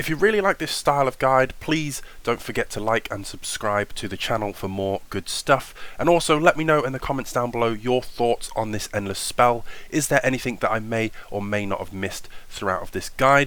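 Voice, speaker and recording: Fairly quick, enthusiastic speech with lively intonation in a British accent. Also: man, medium pitch for a man. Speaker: tabletop wargaming YouTuber. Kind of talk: tutorial voiceover. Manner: casual, enthusiastic.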